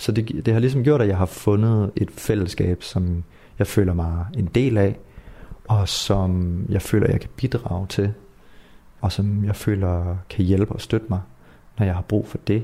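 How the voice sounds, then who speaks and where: Somewhat breathy, a man with a fairly low pitch and a dark, mellow tone speaks with fairly even intonation. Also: fairly slow pace. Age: 20s. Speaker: artist in a youth culture house. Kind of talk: interview. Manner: hesitant, many fillers.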